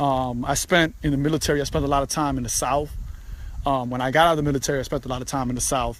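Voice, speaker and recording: With a New York accent, a man talks very fast in a fairly high pitch and a monotone, flat intonation. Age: 40s. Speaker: podcaster, former military. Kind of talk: casual monologue. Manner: casual, filler-heavy.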